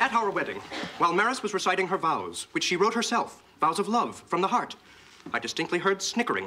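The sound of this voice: Using a put-on character voice, a man talks at a fairly quick pace and high pitch, bright and sharp in tone, with big pitch swings.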